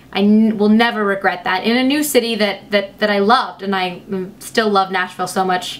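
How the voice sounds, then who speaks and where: Against noticeable background noise, a woman talks fairly quickly at a medium pitch with fairly even intonation. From US, moved around; grew up from 11 in Lexington, Kentucky. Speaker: beauty vlogger. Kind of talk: casual vlog storytelling. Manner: mumbling, hesitant with fillers.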